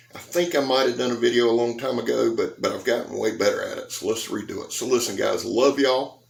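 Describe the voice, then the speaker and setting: Amid noticeable background noise, a man talks at a very fast pace with hardly any pauses. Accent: Southern US. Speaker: knife reviewer, YouTuber. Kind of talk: casual vlog address. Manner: shaky.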